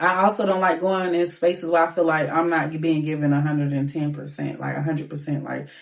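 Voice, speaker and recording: A woman speaks very fast with a very deep, low pitch and hardly any pauses, over noticeable background noise. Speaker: singer and rapper. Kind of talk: casual interview. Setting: studio. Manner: animated.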